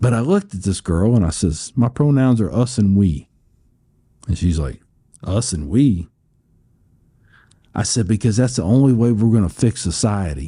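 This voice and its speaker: Against a quiet background, a man with an American accent speaks at a moderate pace in a somewhat breathy, dark, mellow tone, with long, frequent pauses. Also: fairly low pitch for a man. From US Midwest, Cincinnati. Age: 50s. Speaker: war veteran. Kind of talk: interview conversation. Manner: repetitive, halting in places.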